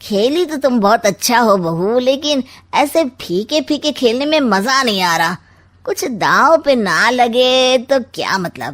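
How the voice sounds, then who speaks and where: In a very clean recording with a silent background, a woman does a cartoonish character voice, high-pitched and lively in intonation, at a fairly slow pace. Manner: sly, mocking.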